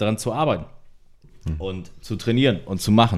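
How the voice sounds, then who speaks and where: A man's fairly low voice, a plain, everyday voice, at a moderate pace on a very clean recording with a silent background. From northern Germany, Delmenhorst. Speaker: former handball player. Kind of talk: casual chat. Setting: at a home, recorded over beer.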